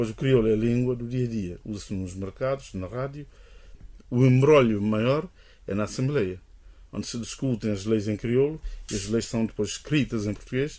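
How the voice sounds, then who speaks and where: Pausing long and often, a man with a dark, mellow tone speaks at a moderate pace. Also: medium pitch for a man, ordinary pitch variation. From Guinea-Bissau. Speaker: linguist. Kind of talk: interview. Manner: hesitant.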